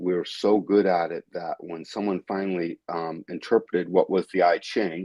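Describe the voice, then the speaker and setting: A man's very deep, low voice with a New England accent, monotone, flat intonation and a moderate pace. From New England, Westfield, Massachusetts. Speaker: human design teacher. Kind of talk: interview on a live stream. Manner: halting, many fillers and restarts.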